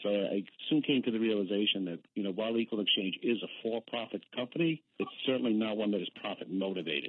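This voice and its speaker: A man talks at a very fast pace with hardly any pauses. His pitch is fairly low, with ordinary pitch variation. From Boston. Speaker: accountant at a worker cooperative. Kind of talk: radio interview.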